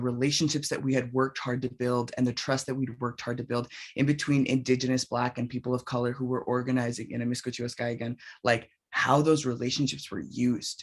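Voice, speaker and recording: A medium-pitched male voice over a quiet background. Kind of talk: panel discussion. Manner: fast.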